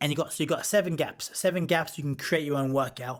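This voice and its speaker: This man has an English accent. He speaks in an animated tone. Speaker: boxer and pro wrestler. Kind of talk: casual chat. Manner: fast.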